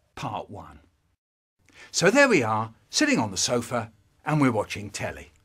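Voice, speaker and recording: Very wide pitch swings mark this man's speech, along with vocal fry. Behind him, the background stays quiet. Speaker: storyteller. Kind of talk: comic monologue, remixed. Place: studio.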